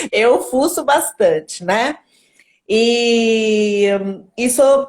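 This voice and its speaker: The speaker is a woman with a fairly high pitch. Her pitch varies in an ordinary way. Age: 50s. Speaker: entrepreneur in digital marketing. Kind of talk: live stream interview. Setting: Instagram live.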